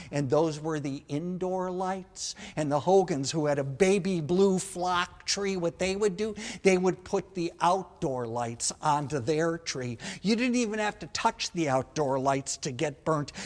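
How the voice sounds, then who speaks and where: This man speaks with a Wisconsin accent at a high pitch. His pace is fairly slow, with ordinary pitch variation. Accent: Upper Midwest (Wisconsin). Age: 60s. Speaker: comedian. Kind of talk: stand-up. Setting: stage with audience. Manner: animated.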